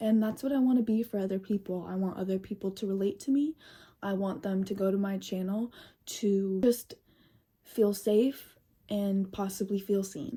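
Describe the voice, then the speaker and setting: A somewhat breathy woman's voice, dark and mellow in tone, at a moderate pace with fairly even intonation on a very clean recording with a silent background. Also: medium pitch for a woman. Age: 20s. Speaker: vlogger. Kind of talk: personal vlog monologue.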